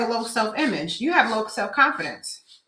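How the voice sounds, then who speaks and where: A woman talks at a very fast pace in a raised, projected voice. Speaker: business coach and mentor. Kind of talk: motivational talk. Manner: loud.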